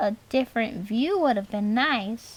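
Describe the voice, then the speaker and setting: A woman's put-on character voice, fairly high in pitch and at a fairly slow pace. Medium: read story.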